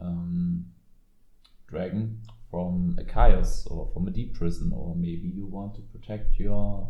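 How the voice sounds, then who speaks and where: A man with a German accent, very deep and low in pitch, dark and mellow in tone, at a very slow pace with lively intonation, big swings in loudness and audible room echo. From Germany. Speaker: card game content creator. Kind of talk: casual commentary video. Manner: halting, many fillers.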